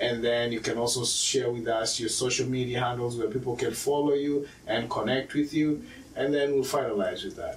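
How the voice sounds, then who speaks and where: A man's medium-pitched voice at a moderate pace, fairly even in intonation with hardly any pauses, over noticeable background noise. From Kenya. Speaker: podcast host. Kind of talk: casual interview.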